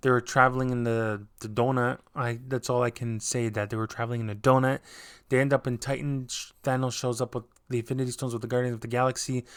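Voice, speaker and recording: Words come at a very fast pace with monotone, flat intonation. The recording is very clean, with a silent background. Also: man, medium pitch for a man. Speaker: YouTube movie commentator. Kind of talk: casual film recap monologue. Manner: halting, many fillers and restarts.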